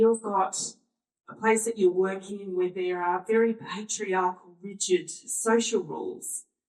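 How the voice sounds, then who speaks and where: A woman speaks at a fairly slow pace with an Australian accent. Her pitch is medium and her intonation fairly even. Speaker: workshop facilitator. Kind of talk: panel discussion.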